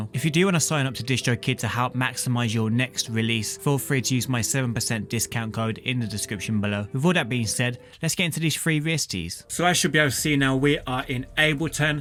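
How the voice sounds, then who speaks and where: A man speaks at a very fast pace with hardly any pauses. Music plays in the background. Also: medium pitch for a man, ordinary pitch variation. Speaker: music producer YouTuber. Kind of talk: tutorial.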